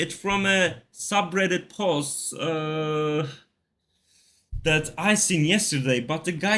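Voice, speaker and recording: With a non-native accent, a man speaks in a bright, sharp tone at a fairly high pitch. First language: not English. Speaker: gaming video creator. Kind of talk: tutorial. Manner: casual, with filler words.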